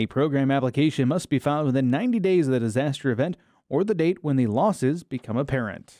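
Fairly high in pitch yet dark and mellow in tone, a man speaks at a very fast pace with lively intonation and very even loudness. The very clean recording is dry and close, with no echo and a silent background. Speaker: agricultural TV show host. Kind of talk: scripted news presentation and interviews.

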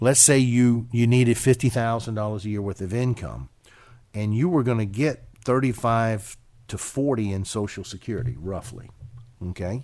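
A man speaks at a moderate pace in a medium pitch, with a dark, mellow tone and ordinary pitch variation, on a very clean recording with a silent background. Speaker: financial advisor radio host. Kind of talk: casual chat. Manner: conversational, hesitant with fillers.

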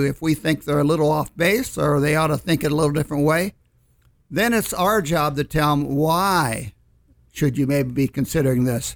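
A man speaks in a plain, everyday voice with a fairly high pitch, moderate pace and ordinary pitch variation. His loudness stays very even on a very clean recording with a silent background. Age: 60s. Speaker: financial advisor. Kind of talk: casual chat on radio show. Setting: studio.

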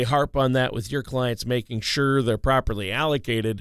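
Medium in pitch, a man with an unremarkable speaking voice talks with fairly even intonation. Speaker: co-host. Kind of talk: radio show discussion. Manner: joking, playful.

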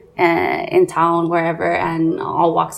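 Background noise is noticeable throughout. The speaker is a woman. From Hawaii, Nanakuli (Oahu). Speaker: small business owner, clothing designer. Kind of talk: casual interview.

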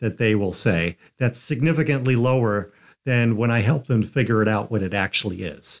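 A plain, everyday voice moves at a moderate pace with ordinary pitch variation, on a very clean recording with a silent background. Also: man. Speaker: financial advisor radio host. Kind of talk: informative talk show discussion.

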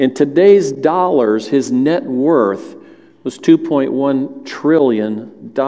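A man with a Southern US accent, a fairly high pitch and a very slow pace, amid noticeable background noise. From US South (Alabama family). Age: 60s. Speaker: lay preacher, church elder. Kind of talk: sermon. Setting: church with congregation.

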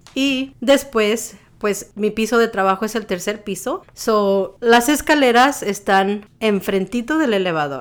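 A woman speaks at a very slow pace with hardly any pauses. Her fairly high voice has lively intonation. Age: 40s. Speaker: lactation specialist. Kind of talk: interview monologue.

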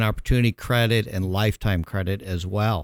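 With an American accent, a man uses an unremarkable speaking voice in a fairly low pitch and fairly even intonation. The sound is dry and close with no echo, on a very clean recording with a silent background. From Chicago, US Midwest. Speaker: accountant and tax professional. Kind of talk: radio interview.

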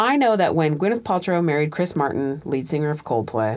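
Someone talks at a fairly quick pace with an American accent over noticeable background noise. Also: woman. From Tacoma, Washington, US. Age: 40s. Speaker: assistant principal. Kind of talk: casual chat. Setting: studio.

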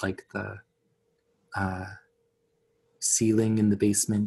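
A man's fairly low voice at a fairly slow pace. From Tsuut'ina Nation, near Calgary, Alberta, Canada. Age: 20s. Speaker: artist and musician. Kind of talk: interview conversation. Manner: hesitant, many fillers.

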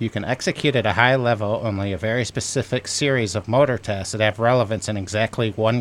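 A man speaks at a fairly quick pace in a medium pitch with fairly even intonation. His is an unremarkable speaking voice. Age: 40s. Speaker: librarian and radio co-host. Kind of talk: radio interview.

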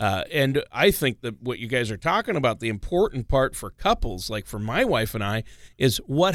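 An ordinary speaking voice moves at a moderate pace in a very clean recording with a silent background. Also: man. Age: 50s. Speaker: radio co-host. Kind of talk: scripted narration; casual chat.

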